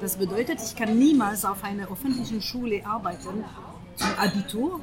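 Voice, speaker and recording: Fairly high-pitched female speech in a French accent, moderate in pace, with ordinary pitch variation and noticeable background noise. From France. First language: French (speaking German). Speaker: interviewee. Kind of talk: casual interview. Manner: halting, with many hesitations.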